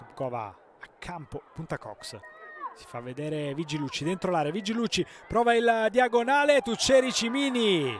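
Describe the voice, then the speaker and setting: Noticeable background noise sits behind a man whose high voice moves in very wide pitch swings and big swings in loudness. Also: moderate pace. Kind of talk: live sports commentary over match highlights. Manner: emphatic, declamatory delivery with rising energy.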